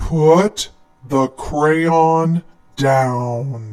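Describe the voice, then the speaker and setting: Growling in a put-on character voice, a man speaks at a fairly high pitch. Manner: growling, menacing.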